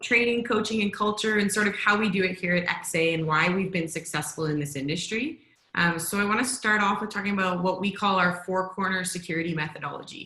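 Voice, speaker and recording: Delivery runs at a fairly quick clip. The pitch moves in an ordinary way. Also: woman. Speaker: security company trainer. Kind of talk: virtual workshop presentation. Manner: fast.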